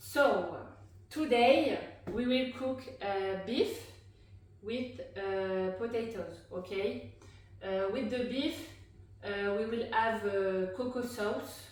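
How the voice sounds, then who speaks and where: A woman with a French accent talks at a very slow pace, leaving long, frequent pauses. Her pitch is fairly high with ordinary variation, and the room echo is audible. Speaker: cooking vlogger. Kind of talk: cooking tutorial. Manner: halting, many filler sounds.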